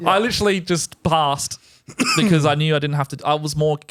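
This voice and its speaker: With an Australian accent, a man at a fairly high pitch talks at a fairly quick pace with ordinary pitch variation, the sound dry and close with no echo. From Australia, Adelaide, Greek family. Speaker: political commentator. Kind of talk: podcast interview.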